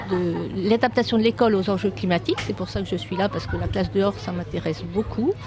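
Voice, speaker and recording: Hardly any pauses break the very fast delivery. Noticeable background noise sits behind it. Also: woman. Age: 60s. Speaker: politician, former teacher. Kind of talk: interview. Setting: conference event. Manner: halting.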